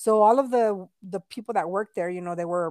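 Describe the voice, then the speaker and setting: A woman with a plain, everyday voice speaks at a medium pitch with lively intonation, recorded very cleanly against a silent background in a dry, close sound with no echo. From Texas, Mexican-American family. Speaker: podcast co-host. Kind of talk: casual chat.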